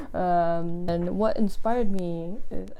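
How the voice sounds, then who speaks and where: Through audible room echo, a woman with a non-native accent speaks in a dark, mellow tone with ordinary pitch variation. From Indonesia. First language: not English. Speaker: book youtuber and blogger. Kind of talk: casual vlog talk to camera.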